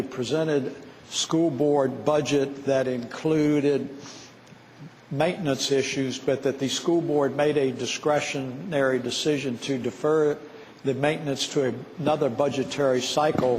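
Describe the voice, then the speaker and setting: At a fairly slow pace, a man speaks with a fairly high pitch and very even loudness amid noticeable background noise. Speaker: state senator. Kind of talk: questioning in legislative floor debate.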